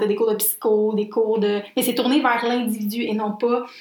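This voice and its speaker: A woman with a Quebec accent speaks in a fairly high pitch and a flat monotone, over noticeable background noise. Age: 20s. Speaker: podcast co-host, literature graduate. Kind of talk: casual chat.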